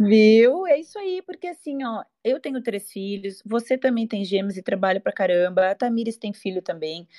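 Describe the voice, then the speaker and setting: A woman's voice with hardly any pauses and very wide pitch swings, against a quiet background. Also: fairly high pitch for a woman, moderate pace, big swings in loudness, dry, close sound with no echo. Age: 40s. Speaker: physical education teacher. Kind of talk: casual chat. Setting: online audio room.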